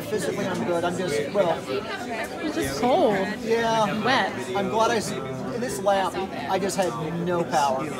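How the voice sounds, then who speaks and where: Crowd noise fills the background as a man speaks at a fairly slow pace. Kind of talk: casual conversation. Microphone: phone near.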